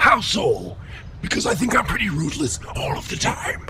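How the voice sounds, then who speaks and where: A man performs a cartoonish character voice at a moderate pace. Background noise is clearly audible. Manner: blustering, touchy.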